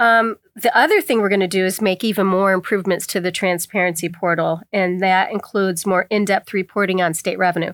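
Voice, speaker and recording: An ordinary speaking voice from a woman with an American accent, medium pitch, fairly even intonation and very even loudness, at a fairly quick pace with hardly any pauses, dry and close with no echo, on a very clean recording with a silent background. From Pennsylvania, Bradford County (rural northern tier). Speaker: state treasurer, Army Reserve veteran. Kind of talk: interview.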